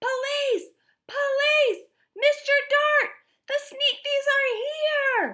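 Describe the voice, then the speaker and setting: Loud, squeaky shouting in a put-on character voice, extremely high in pitch and at a very slow pace. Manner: terrifying shout.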